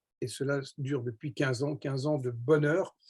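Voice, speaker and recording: Dark and mellow in tone, the man's voice carries a somewhat breathy quality. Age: 70s. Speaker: network marketing entrepreneur. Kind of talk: sales pitch. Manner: enthusiastic; hesitant with filler words.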